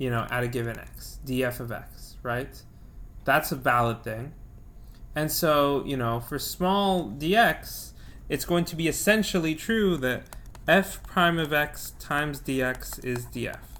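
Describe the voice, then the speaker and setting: Against audible room echo, a man talks at a fairly slow pace in a fairly high, bright, sharp voice with lively intonation. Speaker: physics teacher. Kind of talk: lecture.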